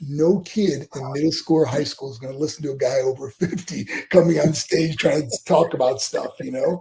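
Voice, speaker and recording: In an American accent, a man uses a normal speaking voice with a fairly high pitch, moderate pace, and ordinary pitch variation. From western New York (Buffalo). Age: 60s. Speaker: former pro wrestler, motivational speaker. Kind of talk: interview.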